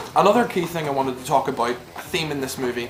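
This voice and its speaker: In a Northern Irish accent, the speech rushes at a very fast pace with ordinary pitch variation over noticeable background noise. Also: man. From Northern Ireland. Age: young. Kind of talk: movie review to camera.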